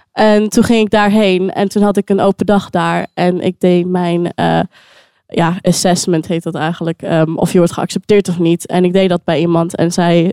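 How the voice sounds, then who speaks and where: Speaking at a moderate pace, a woman uses a dark, mellow tone with monotone, flat intonation. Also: dry, close sound with no echo. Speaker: singer-songwriter. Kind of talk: casual interview. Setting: live recording in a wine bar.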